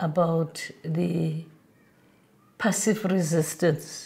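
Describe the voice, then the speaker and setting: A woman's voice has a dark, mellow tone, fairly low pitch, flat monotone intonation and a somewhat breathy quality. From South Africa, Johannesburg. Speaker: former anti-apartheid activist. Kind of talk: interview testimony.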